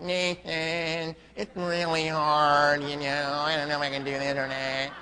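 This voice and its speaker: A man puts on a whiny, nasal character voice at a fairly high pitch, with clear background noise behind him. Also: moderate pace. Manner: whiny, uncertain.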